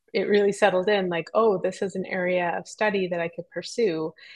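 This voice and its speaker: A woman speaks at a medium pitch with a Western Canadian accent. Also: quiet background. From Squamish Nation, British Columbia coast. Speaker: ethnobotanist and author. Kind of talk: interview.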